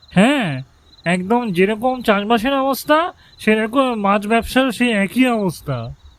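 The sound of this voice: A cartoonish character voice, fairly high in pitch, at a moderate pace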